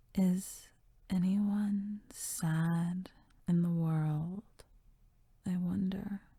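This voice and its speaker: Long, frequent pauses at a very slow pace. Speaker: ASMR poetry reader. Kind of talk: poetry reading. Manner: whispered.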